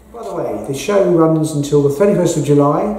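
With audible room echo, a man speaks at a moderate pace in a high voice, using ordinary pitch variation. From England, North London. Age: 60s. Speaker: artist. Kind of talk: interview monologue about his art exhibition. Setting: at the gallery exhibition. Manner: halting, with frequent ums. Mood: calm, reflective. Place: hall.

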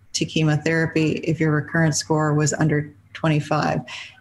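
A somewhat breathy woman's voice at a fairly low pitch and moderate pace, over light background noise. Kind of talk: expert commentary. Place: home room. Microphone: webcam.

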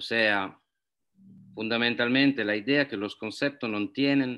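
Against a quiet background, a man with a medium-pitched voice and a bright, sharp tone speaks at a fairly slow pace with ordinary pitch variation.

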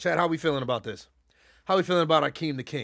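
A man's animated, bright, sharp voice at a very fast pace, with lively intonation and a quiet background. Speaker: livestreamer. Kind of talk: casual live stream commentary. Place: home room.

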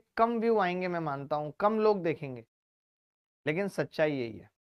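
A man shouting in an animated tone, with ordinary pitch variation, a quiet background and a dry, close sound with no echo. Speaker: maths teacher. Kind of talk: online class lecture. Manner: loud, shouting.

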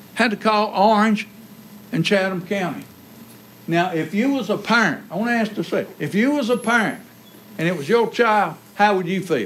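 Speaking with an American accent, a man uses a high pitch, ordinary pitch variation and a moderate pace. He leaves long, frequent pauses over light background noise. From North Carolina, US South. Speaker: county sheriff. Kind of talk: public appeal to officials. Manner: impassioned. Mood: earnest, persuasive. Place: meeting room. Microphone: podium.

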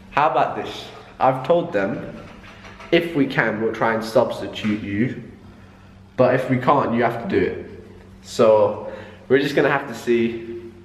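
A man speaks with ordinary pitch variation and long, frequent pauses, with audible room echo and light background noise. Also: fairly slow pace. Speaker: vlogger. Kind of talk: casual vlog chat. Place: home room. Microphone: phone near.

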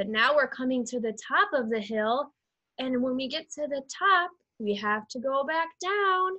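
Against a quiet background, a woman speaks in a raised, projected voice. Her pace is very slow and her pitch swings very wide. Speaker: preschool teacher. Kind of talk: children's circle-time instruction. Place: home room. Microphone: webcam.

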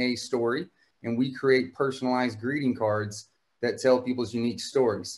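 In an American accent, a man uses an ordinary speaking voice at medium pitch and a moderate pace. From Houston, Texas. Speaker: startup founder. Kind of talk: panel discussion. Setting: video call. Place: home room. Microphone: video call.

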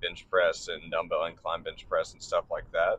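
Over light background noise, a man talks at a moderate pace in a dry sound with no echo. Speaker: gym vlogger. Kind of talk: casual vlog chat. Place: car. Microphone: phone near.

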